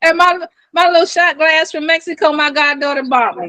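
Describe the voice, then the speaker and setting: Projecting a raised voice with a bright, sharp tone, a woman speaks at a moderate pace with ordinary pitch variation, in a dry, close sound with no echo. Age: 60s. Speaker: nurse. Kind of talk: casual chat. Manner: animated.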